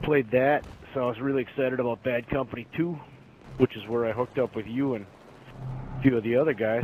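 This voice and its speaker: A man with a Wisconsin accent at a very fast pace, medium in pitch, fairly even in intonation, with long, frequent pauses. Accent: Wisconsin accent, noticeable. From US Midwest, Wisconsin. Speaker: gamer. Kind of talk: casual interview.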